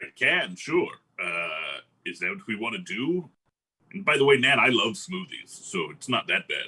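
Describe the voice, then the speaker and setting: A man puts on a character voice. His pitch is medium and his pace moderate. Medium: actual play. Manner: relaxed, casual.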